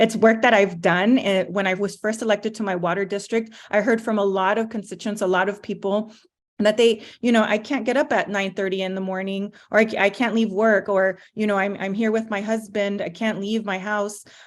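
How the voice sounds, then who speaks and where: The speech has hardly any pauses and a monotone, flat intonation, captured in a very clean recording with a silent background. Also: woman, medium pitch for a woman, fairly quick pace. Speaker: political candidate. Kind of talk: campaign speech. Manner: fast.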